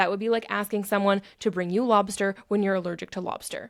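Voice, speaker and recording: A woman at a medium pitch, with an animated tone and a very fast pace. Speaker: self-help podcast host. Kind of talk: podcast monologue.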